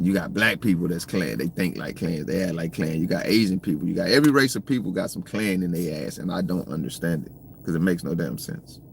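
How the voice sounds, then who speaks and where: Very fast and with hardly any pauses, a man with an American accent talks at a very deep, low pitch, using lively intonation and vocal fry. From US South, Georgia. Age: 40s. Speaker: livestream commentator. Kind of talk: live stream chat. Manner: casual, rambling with repetitions.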